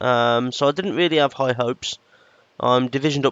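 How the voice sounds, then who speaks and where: This is a man speaking with a British accent. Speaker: gaming YouTuber. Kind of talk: gameplay commentary. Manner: hesitant, lots of fillers.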